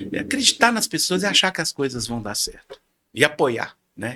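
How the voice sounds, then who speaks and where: A man with a bright, sharp tone speaks at a fairly quick pace, his loudness swinging in big jumps. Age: 60s. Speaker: podcast guest, financial market professional. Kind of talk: casual interview chat. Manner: animated; halting, repeats words.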